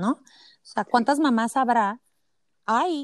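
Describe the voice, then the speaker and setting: A fairly slow pace in a dry, close sound with no echo, on a very clean recording with a silent background. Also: woman. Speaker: podcast host, mother. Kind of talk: casual interview chat.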